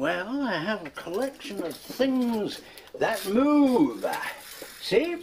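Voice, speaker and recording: This man puts on a character voice at an extremely high pitch, speaking very slowly over clear background noise. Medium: short film. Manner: excitable, exclamatory.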